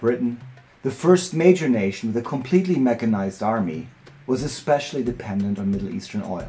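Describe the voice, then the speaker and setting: Over music in the background, a man of medium pitch talks at a fairly quick pace with very wide pitch swings. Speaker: filmmaker. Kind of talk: documentary narration.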